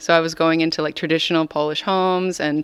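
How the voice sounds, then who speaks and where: With an American accent, a woman talks very fast in a very deep, low voice with monotone, flat intonation. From US, Colorado from age 14. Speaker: singer-songwriter. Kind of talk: interview. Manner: hesitant, many fillers.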